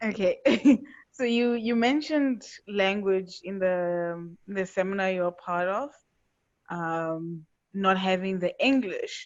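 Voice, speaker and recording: A woman at medium pitch with a Portuguese accent, very slow pace, long, frequent pauses and ordinary pitch variation. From Angolan family, South Africa. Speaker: audience member. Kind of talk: audience question.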